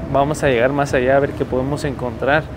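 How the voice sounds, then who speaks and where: Words come at a fairly quick pace over noticeable background noise. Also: man. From Mexico. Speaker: travel vlogger. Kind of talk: vlog narration. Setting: outdoors, city streets at night. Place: street. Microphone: phone near.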